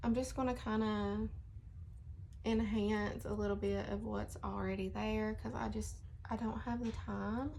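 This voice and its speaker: A woman speaks at a fairly slow pace. There is audible room echo. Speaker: beauty vlogger. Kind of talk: casual makeup tutorial vlog. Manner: chatty, casual.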